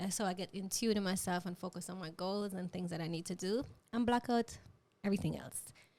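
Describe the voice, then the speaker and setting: At a medium pitch, a woman speaks with a Jamaican accent. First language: Jamaican Patois. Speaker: podcast host. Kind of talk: casual interview chat. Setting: studio.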